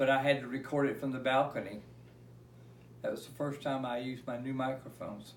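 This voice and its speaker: A man with an American accent at a medium pitch, fairly quick and monotone with flat intonation, amid noticeable background noise and audible room echo. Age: 70s. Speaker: retired concert recording engineer. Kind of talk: casual interview. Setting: at home.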